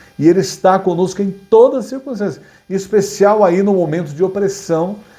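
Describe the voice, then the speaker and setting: A dark, mellow tone at a fairly quick pace, with audible room echo. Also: man. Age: 60s. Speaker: pastor. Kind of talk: sermon. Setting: online Bible class video. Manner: halting.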